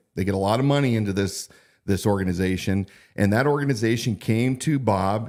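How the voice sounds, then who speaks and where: Fairly low-pitched and animated, a man with an American accent at a fairly quick pace, on a very clean recording with a silent background. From Pacific Northwest (Idaho area). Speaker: sheriff candidate and live-stream host. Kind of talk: political live-stream commentary. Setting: live-stream broadcast. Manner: animated, hesitant with fillers.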